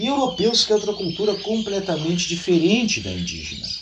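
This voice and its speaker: A man talks with a southern Brazilian accent. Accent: gaucho Brazilian Portuguese. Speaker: history YouTuber. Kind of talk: storytelling history talk. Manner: conversational, folksy.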